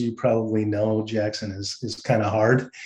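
There is audible room echo as a man talks. He keeps a moderate pace with a slightly mellow tone.

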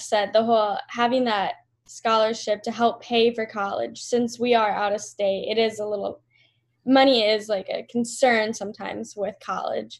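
Over a quiet background, a woman with an American accent speaks at a fairly high pitch and moderate pace, her intonation monotone and flat. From US Upper Midwest (South Dakota). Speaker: golf management student. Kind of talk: podcast interview.

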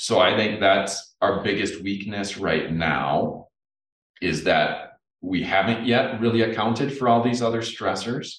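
The speaker has an Upper Midwest accent and a fairly slow pace. Pitch variation is ordinary. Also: man, fairly low pitch for a man. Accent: Upper Midwest American. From central Minnesota. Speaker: entomology professor. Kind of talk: interview.

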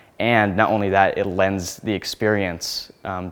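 A man speaks with a Midwestern American accent. His pitch is fairly low. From Nebraska, small town. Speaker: graduate planning student. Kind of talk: interview. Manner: casual, with frequent fillers.

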